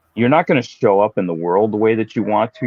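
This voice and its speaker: A man with an unremarkable speaking voice, fairly low in pitch, with ordinary pitch variation. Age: 50s. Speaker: fitness professional. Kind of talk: casual chat.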